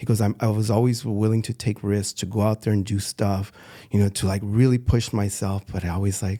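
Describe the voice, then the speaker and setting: Recorded very cleanly against a silent background, a man with an American accent talks at a fairly quick pace in a dark, mellow tone, with fairly low pitch and monotone, flat intonation. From Los Angeles, US. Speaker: street artist. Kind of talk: interview. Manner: halting.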